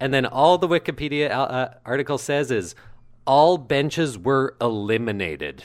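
Recorded very cleanly against a silent background, a man with an unremarkable speaking voice talks at a moderate pace, at medium pitch with ordinary pitch variation. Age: 20s. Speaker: podcast co-host, actor and comedian. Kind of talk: casual chat; reading aloud.

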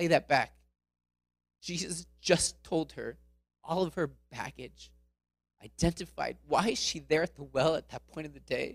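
A man with an American accent and a fairly high pitch, vocal fry, big swings in loudness, ordinary pitch variation, a fairly slow pace, and long, frequent pauses. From Florida, US. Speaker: missionary speaker. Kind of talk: sermon. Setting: church.

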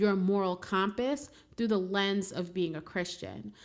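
Recorded very cleanly against a silent background, a woman with an unremarkable speaking voice talks at a moderate pace and medium pitch, with ordinary pitch variation. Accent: American. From New York City (Brooklyn). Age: 20s. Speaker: podcast host, criminal defense attorney. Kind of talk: reflective spiritual monologue.

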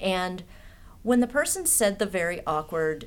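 Here is a woman with a normal speaking voice at a medium pitch. She talks at a moderate pace with lively intonation. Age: 50s. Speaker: artist and political activist. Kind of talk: casual chat.

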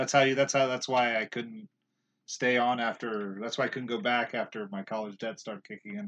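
A man speaks in a normal speaking voice at medium pitch with ordinary pitch variation. The background is quiet. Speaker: podcast host. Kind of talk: casual chat.

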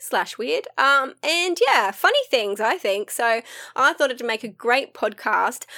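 Bright and sharp, a woman's high voice is raised and projected, swinging very widely in pitch. She speaks at a fairly slow pace on a very clean recording with a silent background. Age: 40s. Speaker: podcast host. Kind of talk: solo casual monologue. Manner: animated; frequent laughter.

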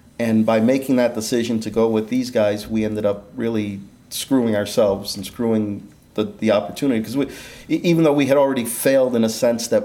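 A man talks in a normal speaking voice. His pitch is medium and his pace fairly quick. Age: 50s. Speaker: inventor and entrepreneur. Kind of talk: interview.

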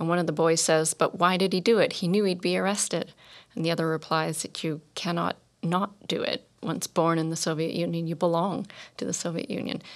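On a very clean recording with a silent background, a woman with an unremarkable speaking voice talks at a fairly quick pace, her fairly low pitch held in fairly even intonation. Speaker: podcast host. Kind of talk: interview. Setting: studio.

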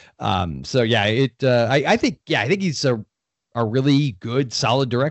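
The voice carries vocal fry and an American accent. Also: man, medium pitch for a man, lively intonation, moderate pace. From Florida. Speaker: podcast guest, horror fan. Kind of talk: casual chat.

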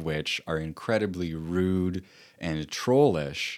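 In a very clean recording with a silent background, a man speaks at a fairly slow pace with a very deep, low pitch and ordinary pitch variation. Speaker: author and podcast host. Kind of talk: solo talk on personal experience. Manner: reflective, hesitant with fillers.

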